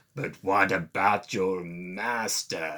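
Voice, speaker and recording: In a put-on character voice, a man growls and hisses with a menacing tone at a very deep, low pitch, his pitch varying in an ordinary way. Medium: read story. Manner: hissing, menacing.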